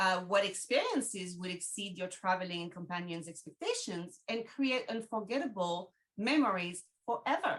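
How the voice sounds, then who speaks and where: A woman with a French accent speaks at a moderate pace, her medium pitch moving with ordinary variation. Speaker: travel agent, podcast host. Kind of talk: webinar presentation.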